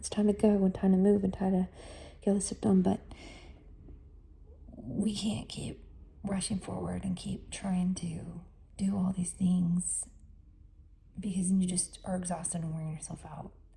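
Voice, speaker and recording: A woman speaks at a moderate pace with a medium pitch. Her intonation is fairly even, broken by long, frequent pauses. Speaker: life coach. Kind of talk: casual podcast monologue.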